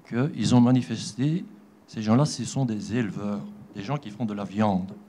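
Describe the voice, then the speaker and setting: A man talks fairly slowly. His medium pitch shows ordinary variation. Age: 60s. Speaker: audience member at conference. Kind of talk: question from the floor.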